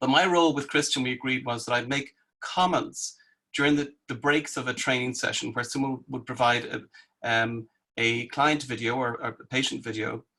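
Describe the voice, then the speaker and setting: A man with a non-native accent talks at a moderate pace. His tone is bright and sharp, and his intonation fairly even. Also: medium pitch for a man. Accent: foreign accent, self-noted. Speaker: psychologist and therapist trainer. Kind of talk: online training discussion.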